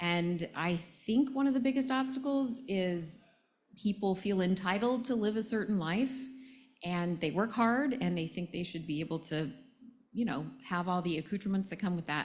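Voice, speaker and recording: With an American accent, a woman speaks somewhat breathy at a moderate pace, using lively intonation. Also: very clean recording, silent background. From United States. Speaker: panel moderator. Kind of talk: panel talk. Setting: tent with audience.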